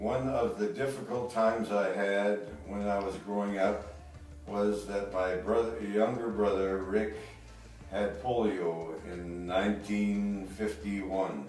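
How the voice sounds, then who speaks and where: A man's fairly low voice at a very slow pace, with fairly even intonation, music in the background and audible room echo. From Canada, small town in Manitoba. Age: 70s. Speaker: retired police officer. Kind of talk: interview answers, personal life story. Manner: halting, many fillers and restarts.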